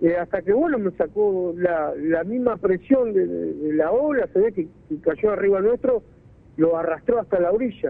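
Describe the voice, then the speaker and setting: Speaking at a moderate pace, a man uses a high pitch with lively intonation. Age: 30s. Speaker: fisherman, witness of a freak wave. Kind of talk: interview. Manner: halting.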